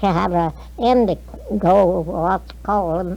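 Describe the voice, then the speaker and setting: With an American accent, a voice comes through noticeable background noise. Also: woman. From North Carolina. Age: 80s+. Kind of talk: interview answer. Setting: old field recording. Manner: hesitant, halting.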